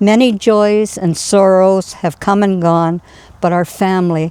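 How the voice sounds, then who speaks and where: Over a silent background in a very clean recording, a woman with a dark, mellow tone and fairly low pitch talks at a fairly slow pace with fairly even intonation. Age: 80s+. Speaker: poet. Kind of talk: poetry reading.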